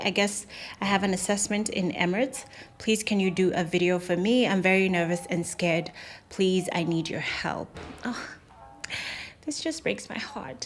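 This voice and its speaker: A woman talks at a moderate pace and medium pitch. She has a normal speaking voice. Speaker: YouTuber, former cabin crew. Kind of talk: Q&A advice vlog.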